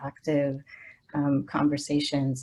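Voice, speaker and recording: A woman speaks with a Spanish accent in a very deep, low pitch. The recording is very clean, with a silent background. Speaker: social work professor. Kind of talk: panel discussion. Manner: halting, many fillers.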